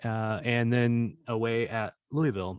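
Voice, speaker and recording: A man with a Missouri accent speaks at a medium pitch, recorded with a dry, close sound and no echo. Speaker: soccer podcast host. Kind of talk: casual podcast chat.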